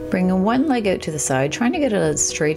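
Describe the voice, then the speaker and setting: This is a woman speaking. Music can be heard clearly behind her. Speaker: fitness instructor. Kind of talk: tutorial. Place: home room.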